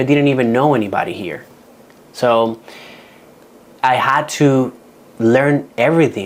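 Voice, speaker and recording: In a Dominican accent, a man speaks at a medium pitch with ordinary pitch variation and long, frequent pauses. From Dominican Republic. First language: Spanish. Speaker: real estate agent. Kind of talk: workshop talk.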